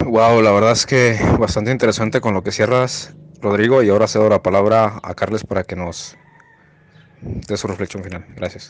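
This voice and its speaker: This man has an ordinary speaking voice with fairly low pitch. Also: moderate pace. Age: 20s. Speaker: podcast host. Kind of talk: casual discussion.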